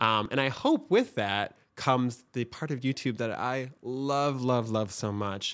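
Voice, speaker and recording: A man with a Michigan accent talks at a fairly slow pace, with hardly any pauses, medium pitch and fairly even intonation. The recording is very clean, with a silent background. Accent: Michigan (Upper Midwest) American. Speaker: TikTok creator and agency owner. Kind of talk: casual interview chat.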